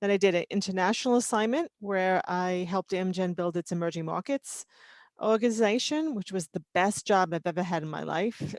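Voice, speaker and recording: A woman with a New York accent at a medium pitch and a fairly quick pace, ordinary pitch variation, dry and close with no echo, in a very clean recording with a silent background. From New York City (Queens, Long Island). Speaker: toxicology and regulatory consultant. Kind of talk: mentoring talk about career. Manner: casual, many fillers.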